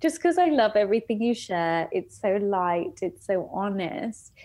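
A woman with an English accent and a dark, mellow tone at a fairly slow pace, against a quiet background. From England. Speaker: coaching client. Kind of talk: personal testimony in interview.

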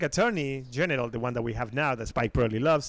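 A man speaks with an Argentinian accent. His pace is very fast. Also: very clean recording, silent background. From Argentina. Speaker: radio producer. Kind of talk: casual chat.

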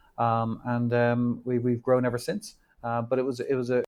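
Talking at a fairly quick pace, a man with an Irish accent keeps a monotone, flat intonation. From Ireland. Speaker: bullion company executive. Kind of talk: interview conversation. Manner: halting, many fillers.

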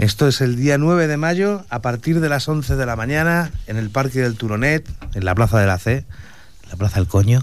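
An unremarkable speaking voice from a man at medium pitch, moderate in pace with lively intonation, on a very clean recording with a silent background. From Madrid, Spain (Usera). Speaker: venue owner and event organizer. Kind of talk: radio interview.

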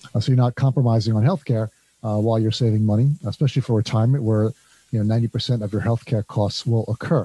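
On a very clean recording with a silent background and a dry, close sound with no echo, a man with a New Jersey accent talks at a very fast pace, medium in pitch, somewhat breathy, dark and mellow in tone, with fairly even intonation. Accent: New Jersey American. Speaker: podcast host, consultancy founder. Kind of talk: interview.

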